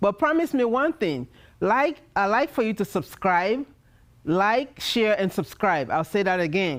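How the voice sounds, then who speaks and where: Recorded very cleanly against a silent background, a woman with medium pitch speaks at a fairly slow pace in a warm, enthusiastic tone with very wide pitch swings. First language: not English. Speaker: TV show host. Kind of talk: TV show host outro and promo.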